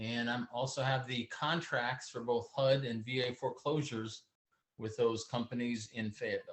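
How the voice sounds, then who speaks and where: A man with an American accent speaks at a moderate pace and a medium pitch. His intonation is fairly even, and he has a plain, everyday voice. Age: 60s. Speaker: real estate entrepreneur. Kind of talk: interview. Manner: casual.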